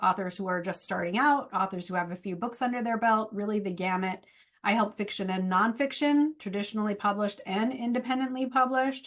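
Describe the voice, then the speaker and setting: At a fairly quick pace, a woman talks with a fairly high pitch and ordinary pitch variation. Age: 40s. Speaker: book marketing coach. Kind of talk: webinar presentation. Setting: video call. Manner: fast.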